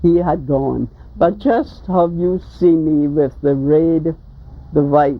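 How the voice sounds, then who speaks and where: A woman speaks very slowly with a Caymanian accent. Her pitch is very deep and low. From Cayman Islands. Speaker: folk artist. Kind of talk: oral history interview answer. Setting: home interview, analogue recording.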